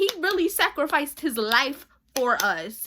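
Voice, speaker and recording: A woman's raised, projected voice, high-pitched with a bright, sharp tone and animated delivery, at a fairly slow pace with very wide pitch swings. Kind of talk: casual faith talk.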